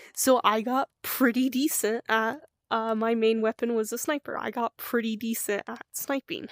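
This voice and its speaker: A woman with a normal speaking voice and a fairly high pitch talks at a moderate pace with fairly even intonation, in a very clean recording with a silent background. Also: dry, close sound with no echo. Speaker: streamer. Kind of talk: casual storytelling monologue.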